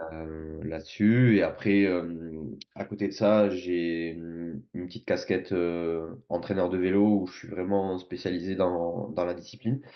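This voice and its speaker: A man with a very deep, low voice speaks in fairly even intonation, with big swings in loudness. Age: 20s. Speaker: sports performance coach and entrepreneur. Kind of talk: podcast interview. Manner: hesitant, many fillers.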